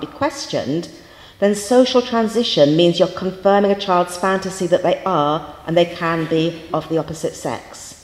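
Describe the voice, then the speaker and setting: Lively intonation and a moderate pace come through with audible room echo. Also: woman. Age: 50s. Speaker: university lecturer. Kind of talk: lecture. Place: hall. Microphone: handheld.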